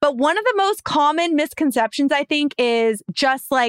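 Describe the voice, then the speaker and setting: A woman with an American accent talks at a moderate pace in a high pitch with ordinary pitch variation. The sound is dry and close, with no echo. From Los Angeles, US. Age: 30s. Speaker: podcast host. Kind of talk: casual chat.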